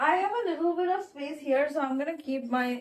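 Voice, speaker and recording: A woman talks at a moderate pace with a Bengali accent. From India, Bengali-speaking. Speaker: book vlogger. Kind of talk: casual vlog narration.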